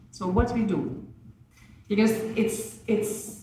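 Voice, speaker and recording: A woman speaks at a fairly slow pace. Room echo is audible, along with noticeable background noise. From Lithuania. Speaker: former diplomat, NGO president. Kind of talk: conference speech. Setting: conference panel with microphones. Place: meeting room. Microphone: podium.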